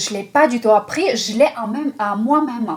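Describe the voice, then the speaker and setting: Against noticeable background noise, a woman with a Russian accent talks in a fairly high pitch with ordinary pitch variation. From Russia/Ukraine. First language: Russian (speaking French). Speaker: esoteric numerology teacher. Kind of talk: video talk to viewers. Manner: hesitant with fillers.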